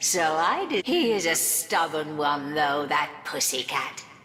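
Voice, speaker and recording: A put-on character voice at middle pitch over clear background noise. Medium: video game. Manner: arch, condescending.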